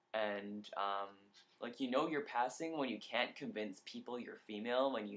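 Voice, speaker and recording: A man at medium pitch, talking at a moderate pace. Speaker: vlogger documenting gender transition. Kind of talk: casual video diary. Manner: frequent filler words, says um a lot.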